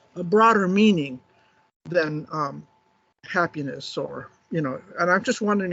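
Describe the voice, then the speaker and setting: This man speaks at a moderate pace in a high pitch, with ordinary pitch variation. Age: 70s. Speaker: audience member asking a question. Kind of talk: conference Q&A. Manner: halting.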